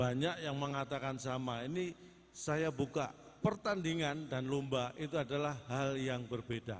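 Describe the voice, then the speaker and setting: A man speaks in an ordinary speaking voice at a fairly slow pace. His pitch is fairly high, with ordinary variation. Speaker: stand-up comedian. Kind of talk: live comedy performance on stage.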